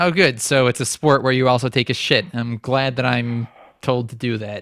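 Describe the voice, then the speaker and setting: This man has a normal speaking voice, talking at a moderate pace with ordinary pitch variation in a dry, close sound with no echo. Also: medium pitch for a man. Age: 20s. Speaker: online radio host. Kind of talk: call-in show. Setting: studio.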